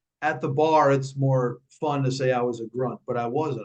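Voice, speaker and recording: In a New York accent, a man talks at a medium pitch. His pace is moderate and his intonation fairly even. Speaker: speaking and fitness coach, former Marine. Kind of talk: interview.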